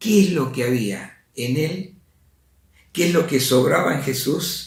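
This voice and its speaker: Somewhat breathy and fairly high-pitched, a man speaks with lively intonation in a space with audible room echo. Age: 70s. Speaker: lay preacher. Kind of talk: religious talk.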